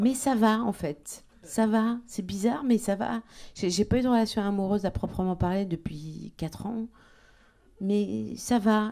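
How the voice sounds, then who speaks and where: Lively in intonation, a woman talks at a fairly slow pace with a fairly high pitch and a dark, mellow tone. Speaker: stand-up comedian. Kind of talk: stand-up comedy routine.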